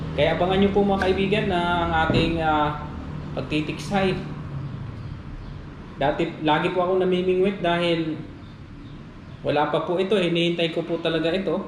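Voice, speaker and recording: Against noticeable background noise, a man speaks at a high pitch and moderate pace with monotone, flat intonation, very even loudness, and long, frequent pauses. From Negros Island, Philippines. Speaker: fishing and outdoor vlogger. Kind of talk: casual talk to camera.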